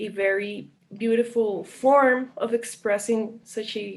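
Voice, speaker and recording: This woman speaks at a very slow pace. Her voice is fairly high, with fairly even intonation. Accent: Colombian. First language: Spanish. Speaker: visual arts student. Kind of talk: interview.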